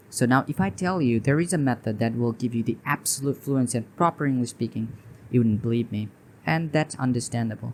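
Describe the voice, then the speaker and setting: A man with a Bangladeshi accent, medium pitch, ordinary pitch variation and a fairly quick pace. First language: Bengali. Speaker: English teacher. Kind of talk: tutorial. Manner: halting.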